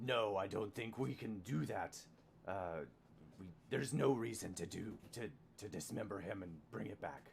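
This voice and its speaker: A man puts on a gravelly character voice, pitched fairly low and delivered at a moderate pace, with clear background noise behind him. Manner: matter-of-fact, blunt.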